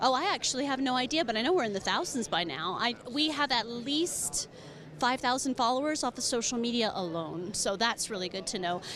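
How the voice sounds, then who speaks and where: A woman with an American accent speaks at a fairly quick pace in an animated tone. Her pitch is high, with very wide pitch swings. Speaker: business manager of a professional organization. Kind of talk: conference interview. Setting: conference floor.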